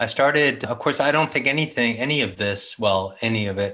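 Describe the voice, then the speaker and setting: A man with an American accent and an unremarkable speaking voice, at a moderate pace with ordinary pitch variation, against a quiet background. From San Francisco, California. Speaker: artist, sketching group organizer. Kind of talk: casual interview.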